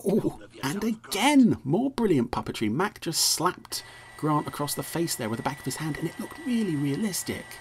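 With an English accent, a man speaks at a high pitch, his pitch swinging very widely. Noticeable background noise runs behind him. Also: moderate pace. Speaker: podcast host reviewing TV episodes. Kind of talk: casual commentary. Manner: hesitant, full of fillers; animated.

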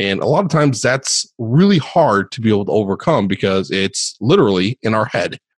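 In a normal speaking voice with lively intonation, the speaker goes at a moderate pace, and the sound is dry and close with no echo. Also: man. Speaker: podcast host. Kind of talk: interview.

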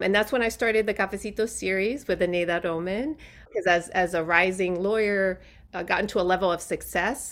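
A normal speaking voice with ordinary pitch variation at a fairly quick pace. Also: woman, medium pitch for a woman. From New York City and Puerto Rico. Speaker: impact investment fund CEO. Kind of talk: interview. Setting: podcast interview.

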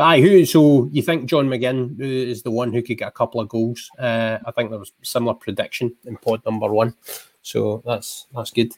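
The voice carries a Scottish accent and moves at a moderate pace with ordinary pitch variation. Loudness swings widely, and the sound is dry and close with no echo. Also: man, medium pitch for a man. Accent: Scottish (Ayrshire). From Scotland, Ayrshire. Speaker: podcast host, sports journalist. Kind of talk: casual chat. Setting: video call.

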